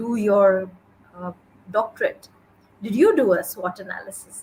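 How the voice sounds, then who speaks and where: Somewhat breathy, a woman at a medium pitch speaks with lively intonation. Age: 40s. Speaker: podcast host. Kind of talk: interview conversation.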